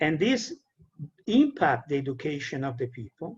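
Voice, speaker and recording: A man is speaking. He has an Italian accent. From Italy. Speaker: peace educator and trainer. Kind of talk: lecture. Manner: halting.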